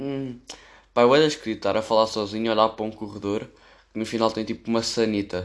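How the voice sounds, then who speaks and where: The man's medium-pitched voice moves at a fairly quick pace with fairly even intonation. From Portugal, Amadora (Lisbon area). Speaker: podcaster. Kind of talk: casual monologue. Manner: rambling, casual slang-heavy.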